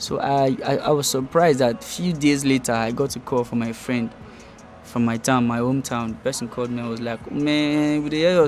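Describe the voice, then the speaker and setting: With music in the background, a man speaks fairly quickly at a medium pitch and with fairly even intonation. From Nigeria, Delta State. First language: Ijaw. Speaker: rapper. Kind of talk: casual interview.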